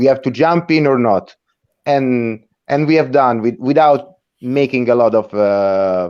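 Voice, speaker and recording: At a fairly slow pace, a man with an Italian accent speaks at medium pitch with ordinary pitch variation and very even loudness over a quiet background. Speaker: rock band member. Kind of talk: interview. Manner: halting, many repeated words.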